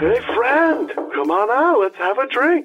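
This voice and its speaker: A loud, high put-on character voice swings very widely in pitch while moving at a fairly slow pace. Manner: boisterous, laughing.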